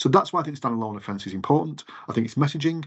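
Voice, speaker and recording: A man with an English accent and lively intonation. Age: 50s. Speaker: retail campaigns director. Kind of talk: interview. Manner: halting.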